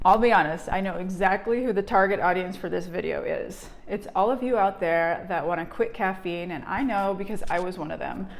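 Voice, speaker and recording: Hardly pausing, a woman talks at a fairly quick pace in a medium pitch with fairly even intonation, amid audible room echo and noticeable background noise. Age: 40s. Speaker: energy healer and vlogger. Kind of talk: personal vlog testimony.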